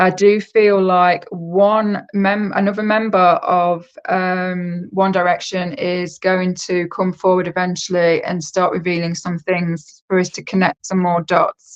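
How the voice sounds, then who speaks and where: In a British accent, the voice moves at a fairly slow pace with hardly any pauses and a monotone, flat intonation. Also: woman, medium pitch for a woman. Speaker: psychic. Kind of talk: casual chat.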